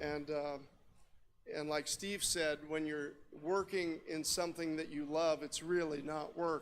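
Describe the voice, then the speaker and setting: A man with an American accent, a fairly high pitch, flat monotone intonation and a fairly slow pace. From Indiana, US Midwest. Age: 60s. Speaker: telecom executive and radio amateur. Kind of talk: conference talk.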